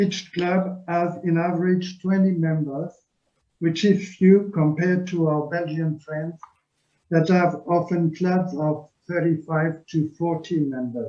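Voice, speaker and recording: Very slowly, a man with a French accent speaks in a high pitch with a dark, mellow tone and fairly even intonation. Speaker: club officer. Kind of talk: presentation.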